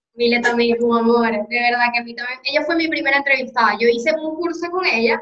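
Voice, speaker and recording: The woman's high voice has ordinary pitch variation and a fairly quick pace. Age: 20s. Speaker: podcast host. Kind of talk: casual interview conversation.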